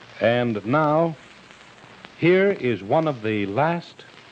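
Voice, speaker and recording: A man's pitch swings very widely. Background noise is noticeable behind him. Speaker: radio announcer and interviewer. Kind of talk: radio program introduction.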